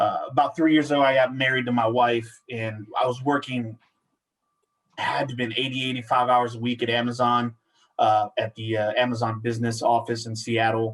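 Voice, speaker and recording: A man speaks at a moderate pace in a Spanish accent. His intonation is monotone and flat. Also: medium pitch for a man. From Central Washington, US. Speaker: workforce business consultant. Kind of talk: casual interview chat.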